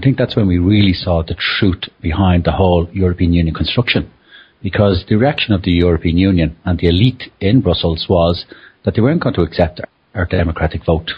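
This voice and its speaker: A man with a very deep, low voice and an Irish accent. His delivery is somewhat breathy, and his loudness stays very even. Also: ordinary pitch variation, fairly quick pace. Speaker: conference attendee. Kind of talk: casual discussion.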